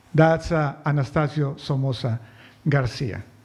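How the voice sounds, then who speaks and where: A man speaks with a Spanish accent. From Nicaragua. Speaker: political cartoonist. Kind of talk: presentation to an audience. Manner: reading from notes.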